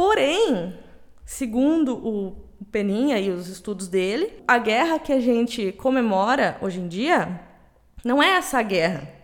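With a southern Brazilian accent, a woman speaks in a fairly high voice that swings very widely in pitch. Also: fairly slow pace. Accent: gaúcho Brazilian Portuguese. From Rio Grande do Sul, Brazil. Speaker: podcast co-host. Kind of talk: casual chat.

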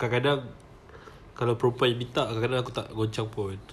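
The speaker has a Malaysian accent. The pace is fairly quick. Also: man. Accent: Malaysian Malay. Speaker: podcast co-host. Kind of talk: casual chat. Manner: animated.

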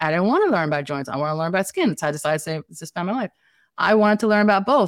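A woman with an American accent speaks with lively intonation. The recording is very clean, with a silent background and a dry, close sound with no echo. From Staten Island, New York City. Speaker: family nurse practitioner and entrepreneur. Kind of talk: casual interview conversation.

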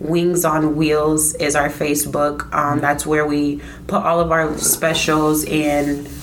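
Over noticeable background noise, a woman with an American accent speaks very slowly in a very deep, low voice, flat and monotone, her loudness very even. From Iowa, Des Moines. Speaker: food truck owner. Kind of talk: casual interview.

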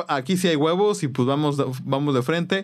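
A man with a Mexican accent and a fairly high voice speaks in a very clean recording with a silent background. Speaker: podcast host and musician. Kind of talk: casual chat.

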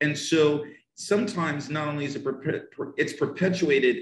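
The speaker has a northern New Jersey accent and a moderate pace. Pitch varies in an ordinary way. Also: man. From US, northern New Jersey. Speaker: English teacher. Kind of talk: casual interview. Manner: animated.

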